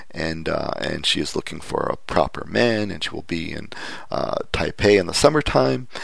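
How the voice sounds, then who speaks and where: Here a man speaks with a Canadian accent at a moderate pace. Audible room echo is present. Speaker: podcast host. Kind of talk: casual chat. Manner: halting.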